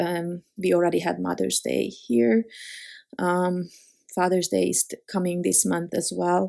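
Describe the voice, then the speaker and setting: On a very clean recording with a silent background, the speech proceeds at a fairly slow pace. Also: woman. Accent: non-native. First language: not English. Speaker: card-making crafter. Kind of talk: tutorial. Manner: halting, many fillers.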